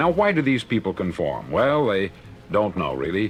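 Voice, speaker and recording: Music plays in the background while a man speaks. His pitch swings very widely. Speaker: motivational speaker. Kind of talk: motivational spoken word record.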